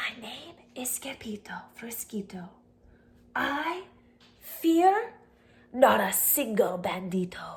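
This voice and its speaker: Using a put-on character voice, a woman speaks softly and shakily at a very slow pace and high pitch, with very wide pitch swings, big swings in loudness, and long, frequent pauses. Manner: very soft, trembling.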